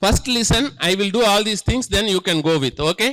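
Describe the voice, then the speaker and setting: A man's raised, projected voice at a high pitch, bright and sharp in tone, with ordinary pitch variation. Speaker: statistics workshop instructor. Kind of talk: lecture.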